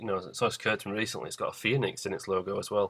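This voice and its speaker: This is a man talking. He has a British accent. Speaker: vlogger. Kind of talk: casual video monologue. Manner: fast; hesitant, many fillers.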